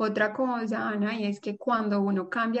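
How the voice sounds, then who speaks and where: A woman talks at a fairly slow pace in a fairly high pitch with monotone, flat intonation. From Colombia, Pereira. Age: 30s. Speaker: image consultant and fashion designer. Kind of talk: casual interview.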